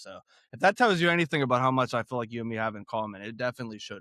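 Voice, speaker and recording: This man speaks at a very fast pace. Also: very clean recording, silent background. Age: 30s. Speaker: podcast host. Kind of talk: casual interview chat. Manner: animated.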